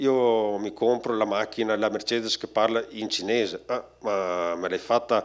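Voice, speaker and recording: A man talks at a fairly slow pace against a quiet background. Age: 40s. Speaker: company creative director; speaker. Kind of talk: conference talk. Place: hall. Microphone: handheld.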